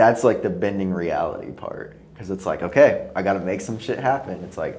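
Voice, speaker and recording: In a room with audible echo, a man talks at a fairly quick pace with big swings in loudness. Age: 30s. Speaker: podcast host. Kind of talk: casual chat. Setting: home apartment studio.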